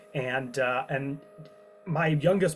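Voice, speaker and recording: With music in the background, a man with an American accent speaks with ordinary pitch variation. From US Midwest, small-town Illinois near Chicago. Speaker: paleontologist, professor. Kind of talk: interview. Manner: animated.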